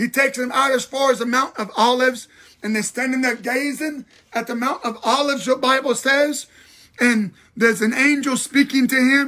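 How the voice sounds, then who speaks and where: In a quiet setting, a man speaks at a moderate pace with an extremely high pitch and a raised, projected voice. His tone is bright, sharp and animated. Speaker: pastor. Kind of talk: livestream bible teaching. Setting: live video stream. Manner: animated, repetitive preaching. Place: home room. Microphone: phone near.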